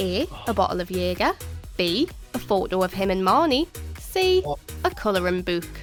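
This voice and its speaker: Over music in the background, a woman speaks in an upbeat tone at a moderate pace, leaving long, frequent pauses. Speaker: quiz show host. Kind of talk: TV quiz show hosting.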